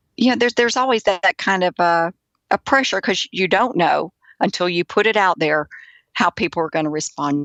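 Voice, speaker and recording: With a Southern US accent, a woman talks at a medium pitch and a moderate pace, with lively intonation and very even loudness. The sound is dry and close with no echo, over a quiet background. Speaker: author. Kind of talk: interview answer. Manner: gentle.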